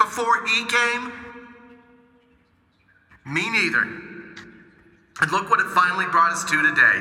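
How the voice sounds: A man's put-on character voice, high-pitched with a bright, sharp tone and lively intonation, at a fairly slow pace with long, frequent pauses and audible room echo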